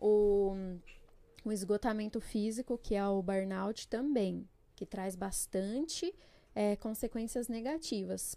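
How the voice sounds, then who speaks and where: With a dark, mellow tone, this woman's voice sits at a fairly high pitch. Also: very clean recording, silent background. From São Paulo state, Brazil (Jundiaí); born in Pernambuco. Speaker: psychologist. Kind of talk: podcast interview.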